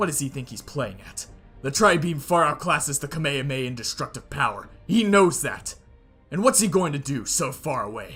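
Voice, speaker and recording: Over faint music in the background, a man puts on a character voice at a fairly high pitch and a fairly quick pace. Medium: read story. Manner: menacing, arrogant.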